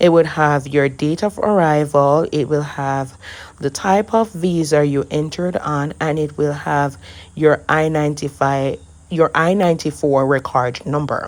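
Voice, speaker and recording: A woman's very deep, low voice with a Jamaican accent, fairly even intonation, on a very clean recording with a silent background. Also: fairly slow pace. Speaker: immigration paperwork preparer. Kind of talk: screen-share tutorial.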